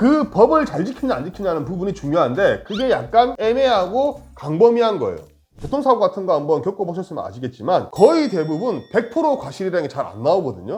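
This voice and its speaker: Music plays in the background while the speaker moves at a fairly quick pace. There are hardly any pauses. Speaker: lawyer. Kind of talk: legal explainer talk to camera. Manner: toned-down, calm.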